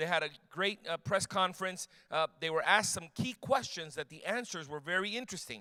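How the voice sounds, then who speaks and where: A man with a high, bright, sharp tone, raised and projected, animated, fairly quick, in a dry, close sound with no echo. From Cuban background. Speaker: apologetics speaker. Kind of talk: talk to a church youth audience. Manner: fast.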